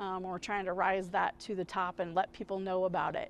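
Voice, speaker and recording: A woman talks at a moderate pace. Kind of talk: interview answer. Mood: upbeat, promotional. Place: street. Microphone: lapel.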